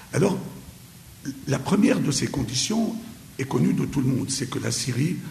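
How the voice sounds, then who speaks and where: Amid noticeable background noise and audible room echo, a man talks. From Syria. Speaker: lecturer. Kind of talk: lecture. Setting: conference hall with audience. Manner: hesitant, many filler pauses.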